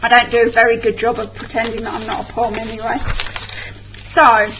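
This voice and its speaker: Against noticeable background noise, a woman speaks with an English accent at a moderate pace. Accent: English accent, mistaken for London. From England. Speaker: scrapbooking vlogger. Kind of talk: tutorial. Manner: casual.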